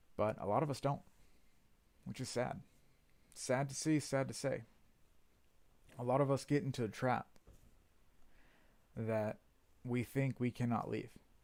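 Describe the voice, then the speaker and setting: A man talks at a moderate pace and a medium pitch. He leaves long, frequent pauses. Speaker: motivational speaker. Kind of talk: motivational livestream talk. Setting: livestream. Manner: monotone.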